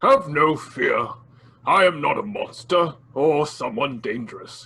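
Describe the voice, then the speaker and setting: A loud put-on character voice at a fairly slow pace. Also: man. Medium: audio drama. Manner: polite, old-fashioned, soft-spoken.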